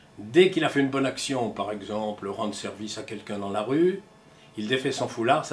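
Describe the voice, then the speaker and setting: Noticeable background noise sits behind a man's voice. He speaks at a moderate pace with lively intonation. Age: 80s+. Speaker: former scout leader. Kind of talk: testimony. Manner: halting.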